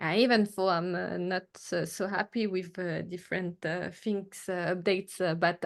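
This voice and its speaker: A woman speaks with a French accent. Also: quiet background. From Martinique, Caribbean (French). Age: 30s. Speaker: artist and photographer. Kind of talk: interview. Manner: halting, many fillers.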